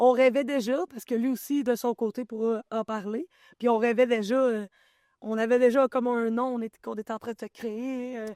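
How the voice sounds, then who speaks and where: A woman speaks at a moderate pace in a fairly high pitch with a dark, mellow tone, monotone, flat intonation and big swings in loudness, in a dry, close sound with no echo on a very clean recording with a silent background. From Quebec, Abitibi (Val-d'Or area). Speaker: forager and small business founder. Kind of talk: interview.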